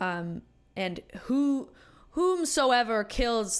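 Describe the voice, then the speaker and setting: A woman speaks with very wide pitch swings. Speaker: podcast guest, film fan. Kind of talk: casual chat.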